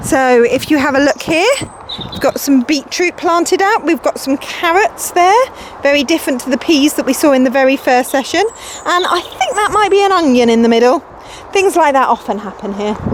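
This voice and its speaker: Over noticeable background noise, a woman speaks at a fairly quick pace in a high pitch with lively intonation. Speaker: environment centre educator. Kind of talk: guided virtual tour.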